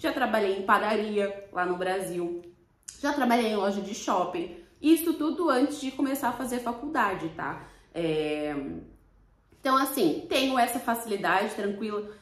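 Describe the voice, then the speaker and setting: In an audible room echo, a woman with a Brazilian accent speaks at a moderate pace, her fairly high voice moving in very wide pitch swings. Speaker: vlogger. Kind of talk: casual vlog talk to camera.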